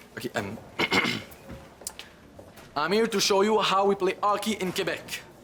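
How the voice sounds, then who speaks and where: Against noticeable background noise, a high-pitched man speaks at a moderate pace with fairly even intonation and long, frequent pauses. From Québec. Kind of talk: halting, uncertain English.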